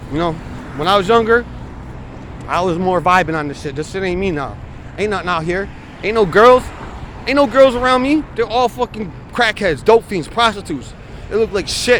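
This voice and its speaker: With an American accent, a man speaks at a high pitch, leaving long, frequent pauses. Noticeable background noise runs under his voice. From New York. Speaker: vlogger. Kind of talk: casual video diary.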